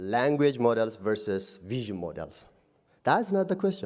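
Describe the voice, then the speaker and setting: A man with a non-native accent speaks at a fairly slow pace at a medium pitch, his voice making very wide pitch swings. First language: not English. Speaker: audience member. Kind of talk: debate rebuttal. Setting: live event with audience.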